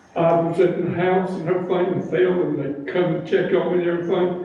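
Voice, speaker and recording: A man with an American accent speaks at a high pitch and a fairly quick pace. Audible room echo and noticeable background noise are present. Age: 70s. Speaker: resident speaking at town meeting. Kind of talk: public comment. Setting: town board meeting.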